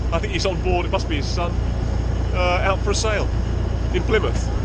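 A man at a fairly quick pace, loud background noise, and a dry sound with no echo. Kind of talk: casual vlog chat. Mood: relaxed and cheerful. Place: boat. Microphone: phone near.

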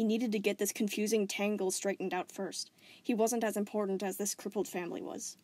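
With fairly even intonation, a natural voice reads the text aloud.

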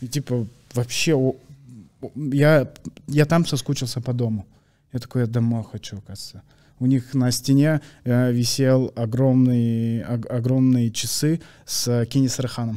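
Dark, mellow tone at a fairly slow pace, with fairly even intonation, long, frequent pauses and a quiet background. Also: man, medium pitch for a man. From Kazakhstan. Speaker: comedian; podcast guest. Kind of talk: casual chat. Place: studio. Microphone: studio mic.

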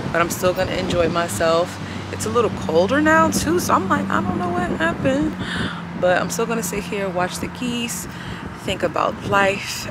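The speech moves at a moderate pace over loud background noise, the sound dry with no echo. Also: woman. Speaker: vlogger. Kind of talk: casual vlog chat. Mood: relaxed, grateful. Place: waterside. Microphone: phone near.

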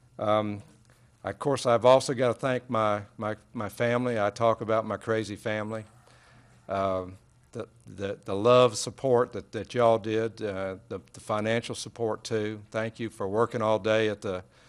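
Here a man talks at a moderate pace in a fairly low voice. His intonation stays monotone and flat. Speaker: council member. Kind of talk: council meeting remarks. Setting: council chamber. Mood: grateful, emotional. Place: hall. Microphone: podium.

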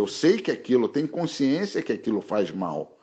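Vocal fry runs through a man's medium-pitched voice as he talks at a moderate pace. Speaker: martial arts master. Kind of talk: interview.

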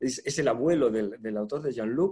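Speaking at a moderate pace with ordinary pitch variation, a man has a dark, mellow tone over a quiet background. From Spain. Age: 60s. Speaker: journalist and interviewer; journalist, interviewer. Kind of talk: literary conversation. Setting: online event. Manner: halting. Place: home room. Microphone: video call.

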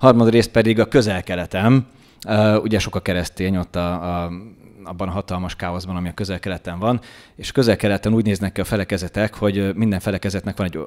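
Over a quiet background, a man speaks very fast in a very deep, low pitch with fairly even intonation. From Hungary. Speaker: journalist and political commentator; journalist, political commentator. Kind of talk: political talk show discussion. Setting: studio with live audience. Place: studio. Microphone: studio mic.

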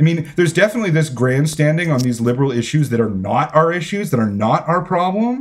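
Speaking with a Canadian accent, a man uses lively intonation in a fairly high, somewhat breathy voice. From Canada. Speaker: author; podcast guest. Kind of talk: interview. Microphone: earbuds.

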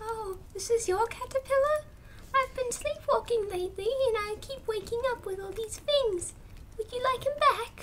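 An extremely high-pitched put-on character voice at a moderate pace, with clear background noise. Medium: audio drama. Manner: friendly, sweet, absent-minded.

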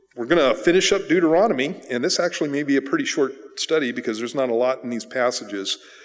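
The background stays quiet as a man talks. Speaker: pastor. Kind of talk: sermon. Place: church. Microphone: podium.

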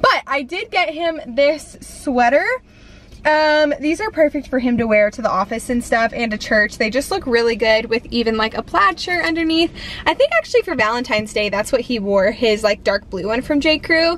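Over faint background noise, a woman speaks at a moderate pace with a fairly high pitch, a fairly bright tone and lively intonation.

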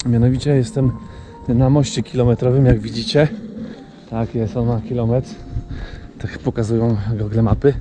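Clear music in the background behind a man at a moderate pace, with long, frequent pauses, fairly even intonation and a dry sound with no echo. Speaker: wildlife photographer vlogger. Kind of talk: casual vlog chat. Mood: calm, admiring. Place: open country. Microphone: phone near.

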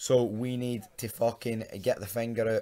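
With a Glasgow accent, a man speaks in a dark, mellow tone with monotone, flat intonation. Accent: Scottish (Glasgow). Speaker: football fan vlogger. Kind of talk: casual talk to camera, football preview rant. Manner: sweary, frustrated.

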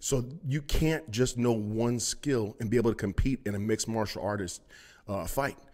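A man speaks at a fairly quick pace. The background is quiet. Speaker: personal trainer. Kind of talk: podcast monologue. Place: gym. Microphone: studio mic.

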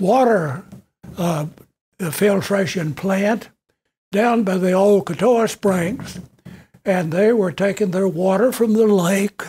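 A man with an American accent speaks at a very slow pace in a dark, mellow tone. His pitch is high, with ordinary variation. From western Kentucky. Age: 80s+. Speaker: retired educator and local historian. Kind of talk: public talk, memoir lecture. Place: meeting room. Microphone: podium.

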